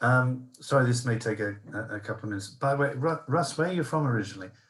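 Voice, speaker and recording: A somewhat breathy man's voice at a medium pitch, with ordinary pitch variation and a very fast pace. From northern England, Sunderland. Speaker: webinar attendee, former drug development scientist. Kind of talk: audience question. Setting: video call.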